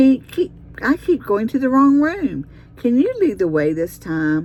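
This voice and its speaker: A female-sounding voice puts on a character voice with a high pitch and very wide pitch swings. The pace is moderate. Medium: read story.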